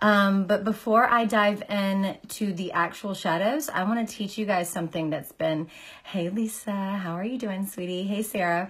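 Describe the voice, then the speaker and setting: A somewhat breathy woman at a moderate pace, with hardly any pauses and fairly even intonation, over a quiet background. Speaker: makeup artist and beauty product seller. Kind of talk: makeup tutorial livestream. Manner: casual, many filler ums. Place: home room. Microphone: phone near.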